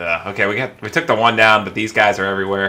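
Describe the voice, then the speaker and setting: A man talks at a fairly quick pace in a fairly low pitch, with music playing in the background. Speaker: gaming let's play host. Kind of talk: gameplay commentary. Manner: casual, relaxed.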